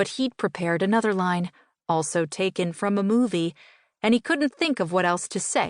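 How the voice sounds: The background stays quiet. A natural voice does the reading.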